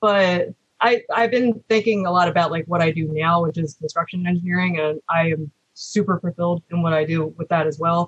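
A somewhat breathy woman talks at a fairly quick pace with fairly even intonation in a dry, close sound with no echo. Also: fairly low pitch for a woman. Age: 30s. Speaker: engineering student and former retail manager. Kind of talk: interview.

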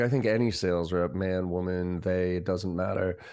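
A man speaks at a very deep, low pitch in a dark, mellow tone, with audible room echo. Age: 40s. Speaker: sales trainer and company CEO. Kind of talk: interview.

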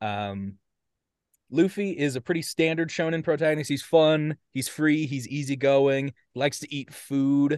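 Recorded with a dry, close sound and no echo against a quiet background, a man with an American accent speaks at a moderate pace and medium pitch in an unremarkable speaking voice. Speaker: podcast co-host presenting a topic. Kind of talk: casual presentation to friends.

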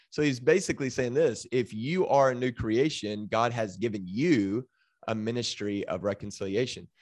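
With an American accent, a man talks at a moderate pace and medium pitch in an unremarkable speaking voice, with ordinary pitch variation and a quiet background. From Texas, Waco. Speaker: denominational next-gen ministry director. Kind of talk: casual interview.

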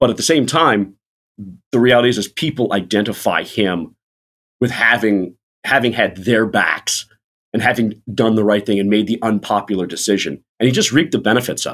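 A man with an American accent and an unremarkable speaking voice talks at a medium pitch and a fairly quick pace with ordinary pitch variation, on a very clean recording with a silent background. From Florida. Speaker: political journalist. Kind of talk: casual interview.

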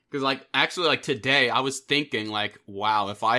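On a very clean recording with a silent background, a man with an American accent speaks at a moderate pace in a bright, sharp tone. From New York. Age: 20s. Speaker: podcast host and audio drama creator. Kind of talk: casual chat.

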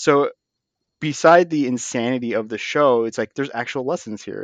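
A man with an unremarkable speaking voice talks at a fairly quick pace, medium in pitch with ordinary pitch variation. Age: 30s. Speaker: podcast co-host. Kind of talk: casual chat. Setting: video call.

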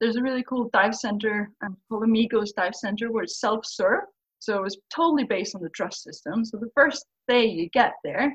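A somewhat breathy woman's voice, fairly high in pitch, with a Faroese accent, ordinary pitch variation and a fairly quick pace. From Faroe Islands. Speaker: scuba diver and brand ambassador. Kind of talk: casual podcast interview. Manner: fast talker, excitable about diving.

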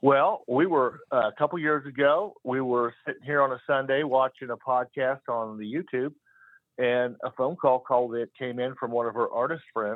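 A man with a plain, everyday voice and an American accent speaks at medium pitch with ordinary pitch variation. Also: moderate pace. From Kansas, US Midwest. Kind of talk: casual call-in chat. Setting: phone call.

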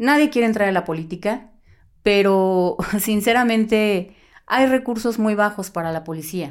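At a fairly slow pace, a plain, everyday voice speaks with ordinary pitch variation in a very clean recording over a silent background. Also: woman, medium pitch for a woman. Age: 40s. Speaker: former police officer. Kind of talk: interview.

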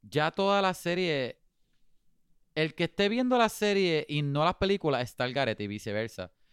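A man speaks at a moderate pace with a fairly high pitch and very wide pitch swings. The recording is very clean with a silent background, and the sound is dry and close with no echo. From Puerto Rico. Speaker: podcast co-host. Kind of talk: casual chat.

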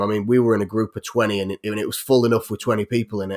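With a Yorkshire accent, a man talks at a very fast pace in a medium pitch, keeping his intonation fairly even. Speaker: YouTuber who makes weapons. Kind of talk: casual chat. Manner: laughs often.

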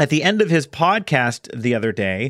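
This is a man's voice, recorded dry and close with no echo. The recording is very clean, with a silent background. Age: 40s. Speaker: podcast host, speaker and author. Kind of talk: solo podcast monologue. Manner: conversational with fillers.

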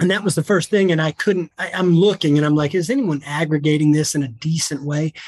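A man's fairly high voice in an American accent, very fast, with ordinary pitch variation and a dry, close sound with no echo. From US South. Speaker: attorney and COVID data analyst. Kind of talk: casual interview.

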